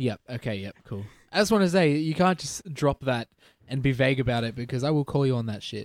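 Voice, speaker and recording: In an ordinary speaking voice, a man talks fairly quickly at a medium pitch with lively intonation. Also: dry, close sound with no echo. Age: 20s. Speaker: podcast co-host. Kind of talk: casual chat.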